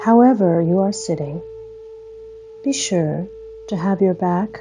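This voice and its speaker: A woman at medium pitch with ordinary pitch variation and a calm, soothing tone, very slow pace and long, frequent pauses, music in the background. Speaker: guided meditation host. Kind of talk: guided meditation. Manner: slow, calm, soothing; gentle, unhurried, with long pauses.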